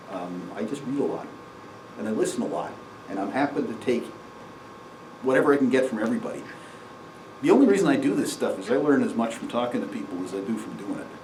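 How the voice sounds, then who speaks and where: Very fast speech from a man, with long, frequent pauses, audible room echo and noticeable background noise. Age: 60s. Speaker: amateur astronomy presenter. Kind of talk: lecture. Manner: halting.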